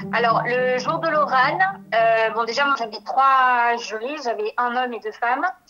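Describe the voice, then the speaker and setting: Her voice sits high in pitch, and this woman's pitch varies in an ordinary way as she talks. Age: 30s. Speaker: beautician and former adult-education student. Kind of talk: testimony. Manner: hesitant, many fillers.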